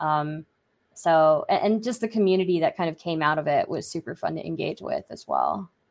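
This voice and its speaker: The pace is moderate and the intonation fairly even. The background is quiet. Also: woman. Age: 30s. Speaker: content creator and debate moderator. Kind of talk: casual interview chat. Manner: hesitant, many fillers.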